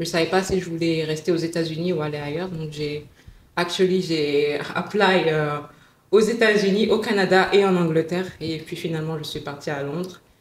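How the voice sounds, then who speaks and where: A woman with a fairly low pitch, fairly even intonation and a moderate pace, with audible room echo. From West Africa, mostly Dakar, Senegal. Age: 20s. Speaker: lawyer. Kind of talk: casual interview chat.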